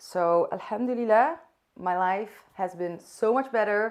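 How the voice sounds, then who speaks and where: Delivered with a Dutch accent, the voice shows ordinary pitch variation. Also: woman, quiet background. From Netherlands. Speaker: vlogger. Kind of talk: casual talk to camera. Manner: unscripted, occasionally searching for words.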